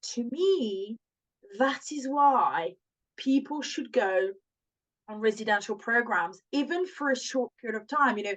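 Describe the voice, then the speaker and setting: A woman speaks in a high voice with a French accent. Her pitch swings very widely. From France. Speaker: language school owner. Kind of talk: casual chat.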